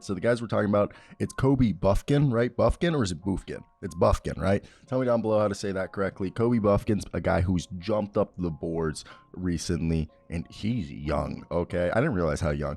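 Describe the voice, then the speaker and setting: A man puts on a raspy character voice, fairly low in pitch, talking at a fairly quick pace over music in the background. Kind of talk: casual youtuber.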